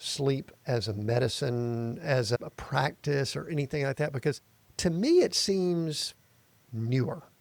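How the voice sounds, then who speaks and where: A man with an American accent speaks at a fairly slow pace, his pitch fairly high and its variation ordinary. He has a plain, everyday voice. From US South, Atlanta area. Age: 60s. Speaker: podcast host. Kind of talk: interview podcast. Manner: casual, conversational.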